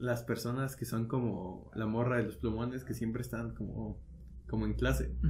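A man talks at a moderate pace, and some room echo can be heard. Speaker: podcast co-host. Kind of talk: casual chat.

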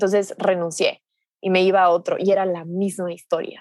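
A woman's medium-pitched voice at a moderate pace. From Ecuador. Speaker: digital nomad entrepreneur and coach. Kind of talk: podcast interview.

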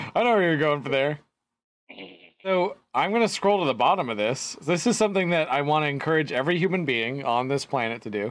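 In a very clean recording with a silent background, a man with an ordinary speaking voice and a fairly high pitch talks at a fairly quick pace with lively intonation. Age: 30s. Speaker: podcast co-host. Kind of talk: casual chat.

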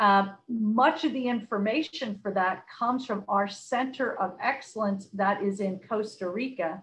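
A woman's fairly high, somewhat breathy voice with an American accent, fairly slow yet with hardly any pauses, and ordinary pitch variation. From US, Philadelphia. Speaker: corporate sustainability executive. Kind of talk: podcast interview.

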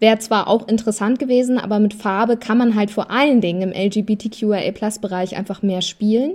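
At a moderate pace and with hardly any pauses, a woman with a fairly high pitch and fairly even intonation speaks in an unremarkable speaking voice. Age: 30s. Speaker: talent manager for influencers. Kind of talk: casual chat.

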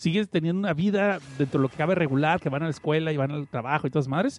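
A man talks very fast with lively intonation in a dry, close sound with no echo. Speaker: podcast host. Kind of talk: casual chat. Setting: online radio stream.

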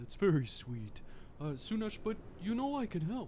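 Clear background noise sits behind a man using a put-on character voice. He talks at a moderate pace and a high pitch. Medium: actual play. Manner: warm, agreeable, gentle.

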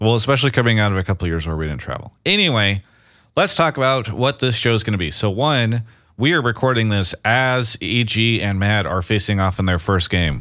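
A man talks at a fairly quick pace. His pitch is fairly low, and he has a normal speaking voice. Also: lively intonation. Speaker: esports podcast host. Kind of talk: casual chat. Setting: home studio, remote.

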